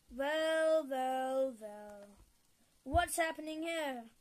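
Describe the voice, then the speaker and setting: A put-on character voice at a very slow pace with ordinary pitch variation. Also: woman, high pitch for a woman. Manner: kindly, cheery.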